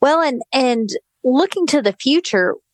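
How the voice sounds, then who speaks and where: Recorded with a dry, close sound and no echo, a woman with an ordinary speaking voice speaks with lively intonation. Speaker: podcast host. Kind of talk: interview, casual chat.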